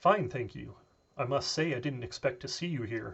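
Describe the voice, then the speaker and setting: In a put-on character voice, the speaker talks at a moderate pace with lively intonation and big swings in loudness. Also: man. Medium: read story. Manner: cool, composed, ironic.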